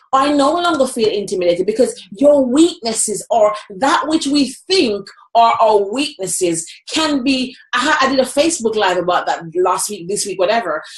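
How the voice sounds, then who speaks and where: Speaking in a Jamaican accent at a moderate pace, a woman uses an animated tone with very wide pitch swings around a high pitch. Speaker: motivational speaker. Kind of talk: interview conversation.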